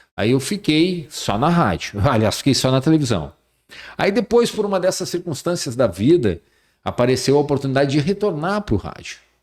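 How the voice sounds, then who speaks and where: On a very clean recording with a silent background, a man speaks at a moderate pace in a fairly high pitch. His voice has vocal fry and very wide pitch swings. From Rio Grande do Sul, Brazil, moved to Bahia young. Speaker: radio and TV journalist and presenter. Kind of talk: podcast interview.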